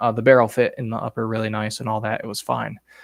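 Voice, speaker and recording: Recorded dry and close with no echo, a man speaks at a fairly quick pace in a medium pitch. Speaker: gun enthusiast streamer. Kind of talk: live stream Q&A. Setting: home at night, headset, others asleep.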